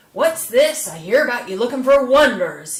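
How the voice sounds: This woman puts on a character voice set high. Her pitch swings very widely. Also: moderate pace.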